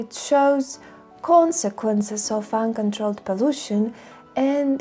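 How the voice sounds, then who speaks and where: A woman with a non-native accent speaks very slowly at a fairly high pitch, her intonation lively, with music playing in the background. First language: not English. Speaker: environmental film reviewer. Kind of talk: video essay narration.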